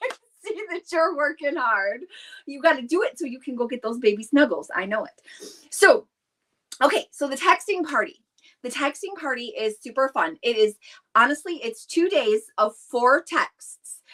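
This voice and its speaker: A woman speaks at a moderate pace in a high, bright, sharp, animated voice with very wide pitch swings and big swings in loudness, the sound dry and close with no echo. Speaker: direct sales consultant hosting live stream. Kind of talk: live stream chat. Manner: excitable, animated.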